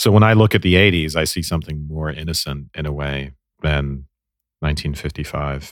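Speaking at a fairly quick pace, a man with a very deep, low pitch and ordinary pitch variation is heard on a very clean recording with a silent background. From Ireland. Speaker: podcast co-host, film discussion. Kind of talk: casual scholarly discussion.

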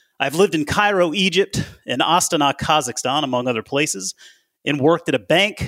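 With an American accent, a man speaks at a moderate pace in a fairly high pitch, his bright, sharp tone showing vocal fry in a dry, close sound with no echo. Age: 40s. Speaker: investment advisor. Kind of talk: casual interview. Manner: halting.

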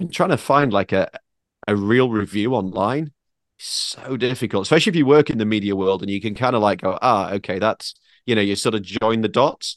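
A man with a British accent talks at a fairly quick pace and medium pitch, the sound dry and close with no echo against a quiet background. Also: ordinary pitch variation. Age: 40s. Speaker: automotive journalist. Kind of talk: casual chat.

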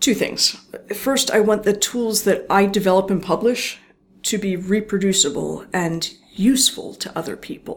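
At a moderate pace, a woman with a slight Philadelphia accent talks at a medium pitch with ordinary pitch variation. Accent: general American, little Philadelphia. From US Northeast, Philadelphia area. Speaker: neuroscience professor. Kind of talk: interview.

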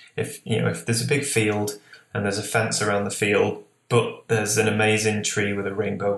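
The speaker has a Lancashire accent and fairly even intonation. The pace is fairly quick. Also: man. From northwest England, Lancashire. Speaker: landscape photographer. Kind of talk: interview.

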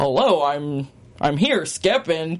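A man's put-on character voice with fairly high pitch. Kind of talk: proper, polite phone voice.

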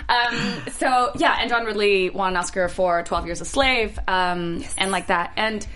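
Heard with audible room echo and noticeable background noise, a woman speaks fairly slowly at a medium pitch. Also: ordinary pitch variation. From Singapore. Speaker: actress. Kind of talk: casual chat. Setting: studio.

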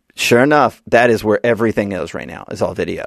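In an American accent, a man talks at a fairly quick pace with vocal fry, his medium-pitched voice moving with ordinary variation, in a dry, close sound with no echo and a quiet background. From US South, Birmingham, Alabama. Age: 40s. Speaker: political marketing strategist and author. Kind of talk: casual interview.

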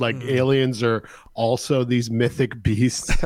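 A man with an American accent at a medium pitch and moderate pace, fairly even intonation, an ordinary speaking voice. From US Northeast (New York State). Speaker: podcast host, guest. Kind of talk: casual chat. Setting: remote call.

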